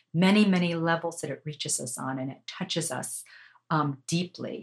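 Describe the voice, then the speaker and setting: This woman has an ordinary speaking voice with a fairly low pitch. She speaks at a moderate pace with ordinary pitch variation. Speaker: podcast host and media coach. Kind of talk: poetry reading aloud.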